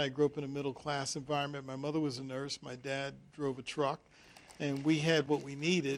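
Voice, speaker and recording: This man talks at a very fast pace with an American accent. His voice sits fairly high. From US Northeast, Philadelphia. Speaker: TV host, community activist. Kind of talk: interview.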